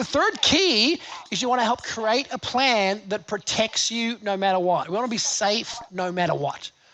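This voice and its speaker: Over noticeable background noise, a man with an Australian accent speaks in a raised, projected voice, high-pitched and animated. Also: ordinary pitch variation, moderate pace. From Australia, Gold Coast. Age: 50s. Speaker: seminar speaker. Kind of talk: live seminar talk. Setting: stage with audience.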